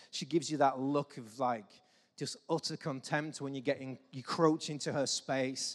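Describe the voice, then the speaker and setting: A man talks at a moderate pace in an English accent. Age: 40s. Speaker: pastor. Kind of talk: sermon.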